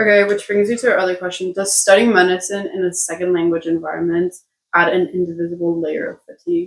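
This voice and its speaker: A woman's medium-pitched voice at a very fast pace, with fairly even intonation. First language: Spanish (bilingual with English). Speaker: international medical student, podcast co-host. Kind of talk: casual chat.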